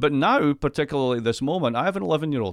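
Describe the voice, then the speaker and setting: In a Scottish accent, a man talks at a very fast pace with a fairly high pitch and ordinary pitch variation. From Scotland. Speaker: economist. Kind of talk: casual chat.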